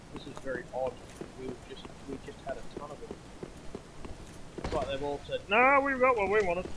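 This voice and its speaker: A man talks at a fairly quick pace and a high pitch, his pitch swinging very widely and his loudness rising and falling sharply. Long, frequent pauses break up his speech, and there is noticeable background noise along with audible room echo. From Australia. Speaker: video game streamer. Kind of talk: live gameplay commentary. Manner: casual, hesitant with fillers. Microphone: microphone issues, poor audio.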